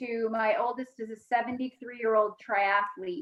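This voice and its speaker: A woman with an American accent speaks in a high pitch and a bright, sharp tone with fairly even intonation. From Maine, US. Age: 40s. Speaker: nutrition coach. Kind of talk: presentation. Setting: video call.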